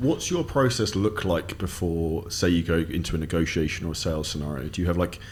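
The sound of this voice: At a fairly quick pace, a man talks in a low pitch. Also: ordinary pitch variation.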